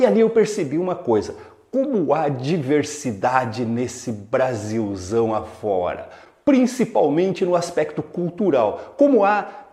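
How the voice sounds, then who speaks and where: His fairly high voice for a man swings very widely in pitch at a fairly slow pace. Noticeable background noise runs under the recording. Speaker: teacher. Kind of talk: casual talk to camera. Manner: upbeat.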